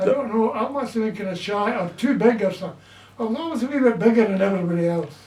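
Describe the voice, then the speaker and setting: Over noticeable background noise, a man with a Scottish accent talks at a very fast pace in a high voice. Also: ordinary pitch variation. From Glasgow, Scotland. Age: 80s+. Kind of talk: interview answer.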